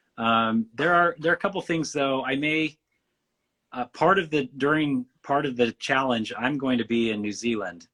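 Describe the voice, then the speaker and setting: A man's medium-pitched voice with a Western US accent, bright and sharp in tone, with a dry, close sound and no echo. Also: ordinary pitch variation, moderate pace. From Western United States. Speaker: painter. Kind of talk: interview.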